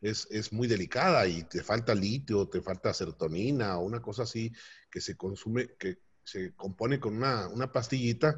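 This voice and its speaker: A man's voice is somewhat breathy and carries lively intonation. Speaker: business owner. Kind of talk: interview. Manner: halting.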